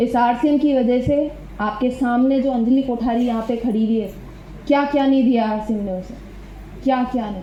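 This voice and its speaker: A woman speaks in a high pitch with audible room echo. Noticeable background noise runs underneath. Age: 20s. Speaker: motivational speaker at a network marketing seminar. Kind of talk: motivational talk. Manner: animated.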